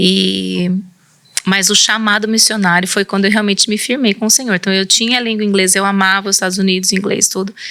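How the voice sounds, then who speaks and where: In a rural São Paulo accent, a woman with a bright, sharp tone speaks at a fairly quick pace and medium pitch, her intonation monotone and flat. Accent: São Paulo countryside (caipira). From interior of São Paulo state, Brazil. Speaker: missionary and pastor's wife. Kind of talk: interview testimony.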